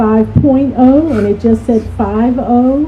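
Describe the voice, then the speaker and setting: Against noticeable background noise, a woman speaks with a fairly high pitch and fairly even intonation. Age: 70s. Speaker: food museum panelist. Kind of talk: panel discussion. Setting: festival panel with audience.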